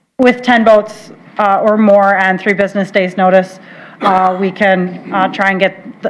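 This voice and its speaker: A fairly slow pace from a woman speaking in a medium pitch. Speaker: water resource specialist presenting to county board. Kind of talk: formal presentation at public meeting. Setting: county board meeting room with mic. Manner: hesitant, many fillers.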